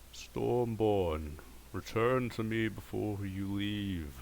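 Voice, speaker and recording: In a put-on character voice, a man booms at a fairly low pitch, resonant and at a very slow pace, over clear background noise. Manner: commanding.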